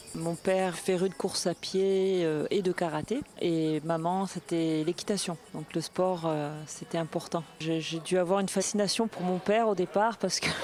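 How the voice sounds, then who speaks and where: At a fairly slow pace and with hardly any pauses, a woman speaks at a fairly low pitch with fairly even intonation. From southern France, Marseille. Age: 40s. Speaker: former karate world champion. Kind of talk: interview testimony. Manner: hesitant, many fillers.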